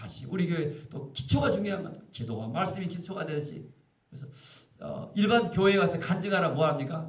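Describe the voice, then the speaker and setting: A man's high, fairly quick voice with lively intonation, big swings in loudness and audible room echo. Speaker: pastor. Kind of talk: sermon. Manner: fast.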